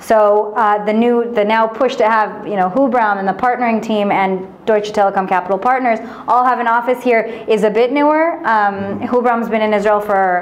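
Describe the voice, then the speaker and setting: With an American accent, a woman talks at a moderate pace in a fairly high pitch with ordinary pitch variation, amid audible room echo and noticeable background noise. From United States. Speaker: venture investment manager. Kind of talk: interview. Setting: office.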